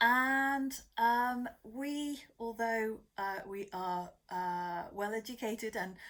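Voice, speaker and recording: A woman speaks with a British accent and ordinary pitch variation. The recording is very clean, with a silent background. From Britain. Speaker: community organiser. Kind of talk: narration.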